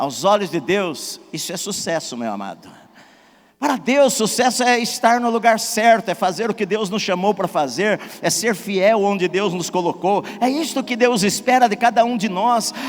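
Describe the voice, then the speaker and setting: With an interior São Paulo accent, a man speaks at a moderate pace and high pitch, showing ordinary pitch variation. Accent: Brazilian caipira (rural countryside). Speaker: pastor. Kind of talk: sermon.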